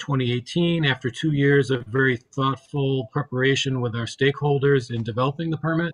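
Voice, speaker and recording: Using an ordinary speaking voice, a man talks at a moderate pace in a medium pitch with fairly even intonation. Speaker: state environmental program official. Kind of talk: committee testimony presentation.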